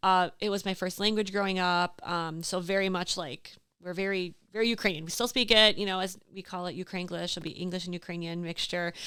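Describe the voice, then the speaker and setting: A woman's medium-pitched voice with an Upper Midwest accent, a bright, sharp tone, ordinary pitch variation and a fairly quick pace, on a very clean recording with a silent background. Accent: Upper Midwest American. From Door County, Wisconsin. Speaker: small business owner. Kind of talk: casual interview chat. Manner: animated.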